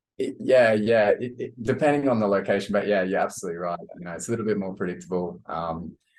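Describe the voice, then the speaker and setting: A very fast man, hardly pausing, with ordinary pitch variation. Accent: Australian. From Australia (Brisbane). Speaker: digital nomad entrepreneur, podcast co-host. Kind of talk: casual interview chat. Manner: halting, many fillers and repeats.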